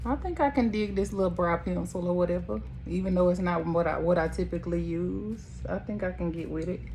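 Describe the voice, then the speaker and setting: Music plays in the background as a speaker with a Southern US accent talks at a fairly quick pace, with audible room echo. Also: woman. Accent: country Southern accent, noticeable. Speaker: makeup artist. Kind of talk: makeup tutorial. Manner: casual, chatty.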